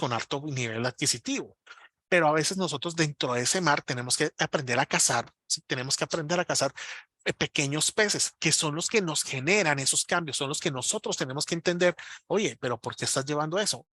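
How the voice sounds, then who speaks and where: A man's fairly high voice, bright and sharp, at a fairly quick pace with ordinary pitch variation, dry and close with no echo, over a quiet background. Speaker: marketing instructor. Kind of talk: webinar lecture. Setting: online webinar. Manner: fast.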